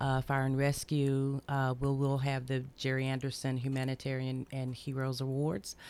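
A woman with a Tennessee accent speaks in a very deep, low pitch, monotone and flat, with hardly any pauses. The recording is very clean, the background silent. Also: moderate pace, very even loudness. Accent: Southern US (Tennessee). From US South, Memphis, Tennessee. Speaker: community activist. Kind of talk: radio interview.

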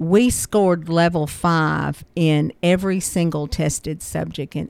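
A woman with a Tennessee accent, a fairly low pitch, fairly even intonation and a fairly slow pace. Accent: Middle Tennessee Southern. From US South, Murfreesboro, Tennessee. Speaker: school board vice chair. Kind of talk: radio interview. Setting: radio studio.

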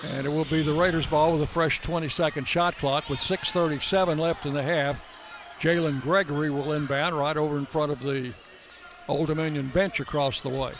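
Against noticeable background noise, a man with a fairly high pitch talks at a moderate pace with fairly even intonation. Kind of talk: live play-by-play sports commentary.

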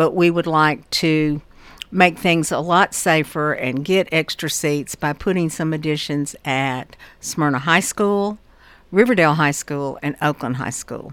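A woman's very deep, low voice in a Southern US accent, fairly slow, with ordinary pitch variation, on a very clean recording with a silent background. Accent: US South (Tennessee). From Murfreesboro, Tennessee. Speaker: school board member. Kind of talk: radio interview.

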